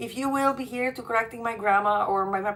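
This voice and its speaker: With a Polish accent, a woman speaks with ordinary pitch variation. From Poland. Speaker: relationship coach. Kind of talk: live stream monologue. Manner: halting.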